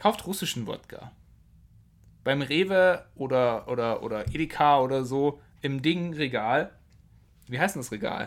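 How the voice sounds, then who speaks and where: A loud male voice at a fairly high pitch and fairly slow pace, with lively intonation and long, frequent pauses. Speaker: podcast co-host. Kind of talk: casual chat.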